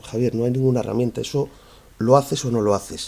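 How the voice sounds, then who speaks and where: Medium in pitch, a man's voice comes across in a dark, mellow tone. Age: 40s. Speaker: human resources manager. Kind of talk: panel talk with Q&A. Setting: conference event, being recorded.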